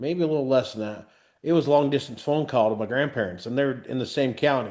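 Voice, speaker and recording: A man's plain, everyday voice, medium-pitched with ordinary pitch variation, at a fairly quick pace over a quiet background. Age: 40s. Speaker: podcast host, knife maker, former truck driver. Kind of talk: casual interview chat.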